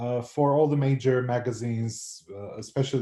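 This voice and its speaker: This man's tone is dark and mellow, somewhat breathy. He holds a medium pitch with fairly even intonation. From North Macedonia. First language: Macedonian. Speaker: anthropology professor. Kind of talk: interview. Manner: hesitant, many fillers and repeats.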